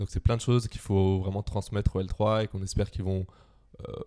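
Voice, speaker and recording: In a very clean recording with a silent background, a man speaks in a monotone, flat intonation, his pitch fairly low and his tone dark and mellow. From Brittany, France (Quimper). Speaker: student, grocery co-founder. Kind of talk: casual interview.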